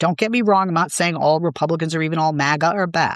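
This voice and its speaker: The speaker has a Boston accent. The background is quiet. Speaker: political commentator. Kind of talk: interview conversation.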